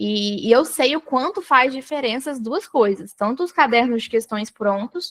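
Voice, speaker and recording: A woman with a high pitch talks at a moderate pace with lively intonation and hardly any pauses. The sound is dry and close, with no echo. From Brazil, Espírito Santo. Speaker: study mentor for public exams. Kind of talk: live online mentoring session. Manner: halting, many restarts.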